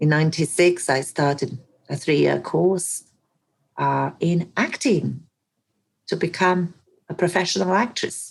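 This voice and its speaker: A woman with a Bosnian accent speaks at a fairly slow pace and a fairly low pitch. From Bosnia and Herzegovina, Mostar. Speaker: actress and coach. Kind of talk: podcast interview. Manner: animated.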